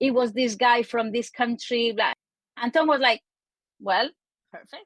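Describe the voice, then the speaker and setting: A woman with a non-native accent speaks fairly slowly in a high voice with ordinary pitch variation. Her loudness swings a lot, and the sound is dry and close with no echo. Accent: foreign. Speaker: marketing and copywriting expert. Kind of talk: interview. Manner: animated.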